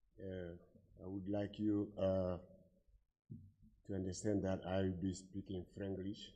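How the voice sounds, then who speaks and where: A man's very deep, low voice in a French accent, dark and mellow in tone, monotone and flat, at a fairly slow pace with long, frequent pauses and audible room echo. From Guinea. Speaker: conference participant. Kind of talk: conference floor remarks. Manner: halting.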